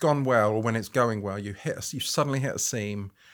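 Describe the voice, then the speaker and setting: A man talks at a fairly quick pace with ordinary pitch variation, recorded very cleanly over a silent background. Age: 50s. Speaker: photographer. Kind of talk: interview conversation. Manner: halting, with frequent restarts.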